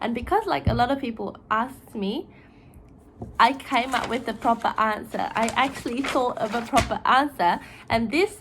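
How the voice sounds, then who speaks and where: With a Japanese accent, a woman talks at a moderate pace and a fairly high pitch, her intonation lively and her voice showing vocal fry. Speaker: YouTuber. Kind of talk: casual explainer video. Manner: chatty, informal.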